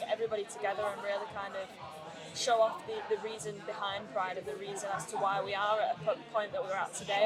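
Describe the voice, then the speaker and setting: With music in the background and audible room echo, a woman with a fairly high pitch talks at a fairly quick pace with ordinary pitch variation. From Greater Manchester, England. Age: 30s. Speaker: singer-songwriter. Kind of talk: interview.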